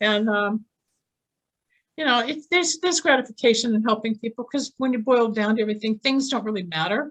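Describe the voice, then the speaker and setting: A woman talks at a fairly quick pace in an unremarkable speaking voice, fairly high in pitch with lively intonation. The sound is dry and close with no echo. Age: 60s. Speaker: psychic healer and near-death experiencer. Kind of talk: interview testimony. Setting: podcast interview.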